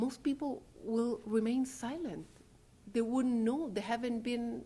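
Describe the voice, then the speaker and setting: In a Spanish accent, a woman speaks at a fairly slow pace with a high pitch, ordinary pitch variation and a dark, mellow tone, with audible room echo around her. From Chile. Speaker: legal scholar. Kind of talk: lecture. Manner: halting.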